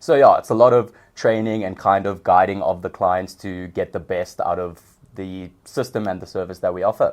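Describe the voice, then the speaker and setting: A man speaks with a South African accent at a moderate pace over a quiet background. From South Africa, Johannesburg. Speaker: customer success manager. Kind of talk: podcast interview.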